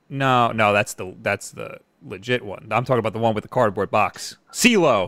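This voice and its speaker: A man speaks in an ordinary speaking voice at medium pitch and moderate pace, with ordinary pitch variation and big swings in loudness. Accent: American. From New York, Long Island. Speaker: gaming YouTuber and live stream host. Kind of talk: casual chat. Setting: live stream.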